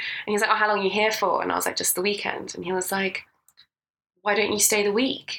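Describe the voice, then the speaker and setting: Vocal fry runs through a woman's bright, sharp tone. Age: 20s. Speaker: podcast co-host. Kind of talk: casual chat.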